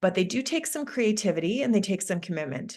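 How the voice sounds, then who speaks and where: Somewhat breathy and medium in pitch, a woman with a Canadian accent talks at a fairly quick pace with very wide pitch swings. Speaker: sport psychologist. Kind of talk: webinar presentation.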